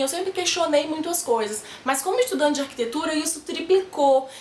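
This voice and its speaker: Animated in tone, a woman speaks in a high voice. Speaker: architecture student vlogger. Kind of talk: casual vlog tips. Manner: fast.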